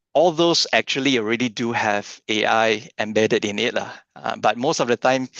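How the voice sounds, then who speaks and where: An ordinary speaking voice at a moderate pace, with ordinary pitch variation and a dry, close sound with no echo over a quiet background. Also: man, medium pitch for a man. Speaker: AI trainer for church workers. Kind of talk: workshop lecture.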